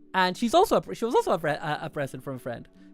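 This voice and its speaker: A man rushes along at a very fast pace while music plays in the background. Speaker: streamer building model kits. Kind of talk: live stream chat.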